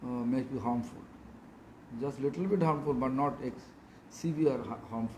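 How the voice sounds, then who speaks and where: Fairly slow, medium-pitched speech from a man, with room echo audible around it. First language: not English. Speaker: monk and spiritual teacher. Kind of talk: religious discourse. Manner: halting.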